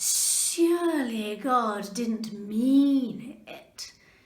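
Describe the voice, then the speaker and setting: A woman uses a put-on character voice pitched high. There is hissing in the recording. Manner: hissing, sly, insinuating.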